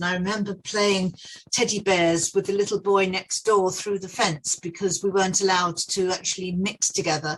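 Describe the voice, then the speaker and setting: With hardly any pauses, a woman speaks in a southern English accent at a moderate pace and a medium pitch. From southeast England (Dartford, Kent). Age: 70s. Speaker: facilities management veteran. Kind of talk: podcast interview.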